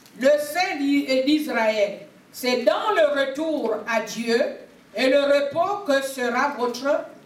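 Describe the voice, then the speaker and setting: A woman speaks at a very slow pace in a high pitch, with ordinary pitch variation. Audible room echo and noticeable background noise fill the recording. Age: 60s. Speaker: prophetess preacher. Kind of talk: sermon. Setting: church service.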